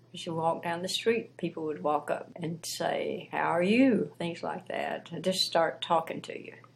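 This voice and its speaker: Delivered at a moderate pace in a Southern US accent, the speech has ordinary pitch variation. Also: woman. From US South, Piedmont of South Carolina. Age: old. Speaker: retired teacher and former missionary. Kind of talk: interview. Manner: halting.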